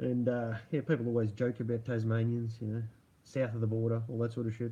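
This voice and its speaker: With an Australian accent, a man speaks fairly quickly in a monotone, flat delivery, his medium-pitched voice dark, mellow and somewhat breathy. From Australia, Melbourne. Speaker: livestream host. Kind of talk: casual livestream chat. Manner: casual, rambling.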